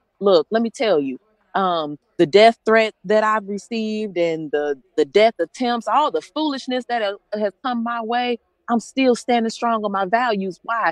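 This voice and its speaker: This woman has a fairly high pitch and an American accent. Her tone is animated and her intonation lively. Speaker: nurse, pastor and activist. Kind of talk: rally speech. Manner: fast.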